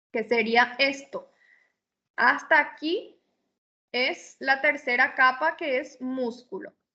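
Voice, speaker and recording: A woman uses a raised, projected voice with a bright, sharp tone and high pitch over a quiet background. She goes at a very slow pace with ordinary pitch variation and long, frequent pauses. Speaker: histology lecturer. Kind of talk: lecture.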